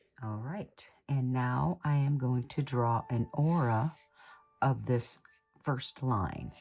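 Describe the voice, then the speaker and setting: The speech moves at a very slow pace over music in the background. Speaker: art instructor. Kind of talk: tutorial.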